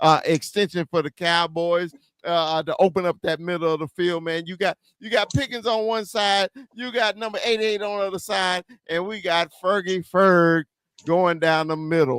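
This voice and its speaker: Music plays in the background as a man with an American accent talks at a moderate pace in a high pitch with ordinary pitch variation, the sound dry and close with no echo. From US South. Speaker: sports podcast host. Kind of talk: casual chat. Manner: animated.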